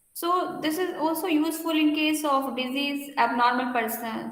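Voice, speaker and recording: Audible room echo surrounds a woman speaking. Her intonation is lively and her pace moderate. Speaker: university lecturer. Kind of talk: lecture.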